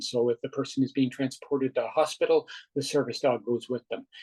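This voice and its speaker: A man speaks at a fairly quick pace with a medium pitch, and the sound is dry and close with no echo. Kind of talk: interview. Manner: fast; halting, many fillers and repeats.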